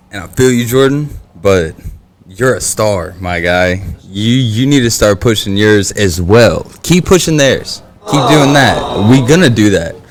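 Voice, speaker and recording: Noticeable background noise sits behind a man with an American accent, who speaks in a medium pitch with lively intonation. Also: fairly slow pace. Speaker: podcast host. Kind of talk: casual chat.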